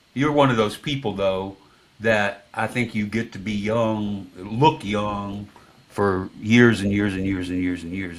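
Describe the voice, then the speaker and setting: Fairly low in pitch with ordinary variation, a man talks at a fairly slow pace in a plain, everyday voice. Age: 60s. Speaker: music podcast host. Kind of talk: casual chat.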